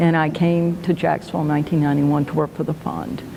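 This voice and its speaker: A woman with an American accent talks very fast in a fairly low, monotone voice over noticeable background noise. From US Deep South. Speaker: foundation president. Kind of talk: interview.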